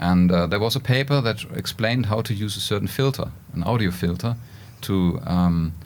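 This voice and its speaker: Fairly low male voice, moderately paced, its pitch varying in an ordinary way, amid noticeable background noise. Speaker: professor and robotics researcher. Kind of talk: podcast interview. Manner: halting, with fillers.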